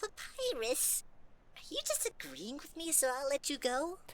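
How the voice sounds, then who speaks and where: A put-on character voice with a high pitch, spoken at a moderate pace. Background noise is clearly audible. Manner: crooning, falsely sweet.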